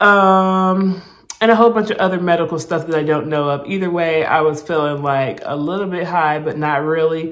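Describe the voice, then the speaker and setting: A woman speaks in an animated tone with a fairly low pitch. Room echo is audible. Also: ordinary pitch variation, moderate pace. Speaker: vlogger documenting weight loss surgery. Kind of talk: casual vlog storytelling. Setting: hospital room. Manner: animated, casual; quiet, hushed in hospital clip.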